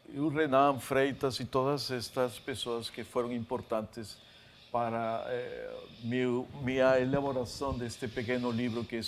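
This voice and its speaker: The speaker is a man with a medium pitch. There is audible room echo. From Peru, Lima. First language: Spanish (speaking Portuguese). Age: 50s. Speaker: author and literature scholar. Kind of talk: lecture. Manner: halting, many fillers.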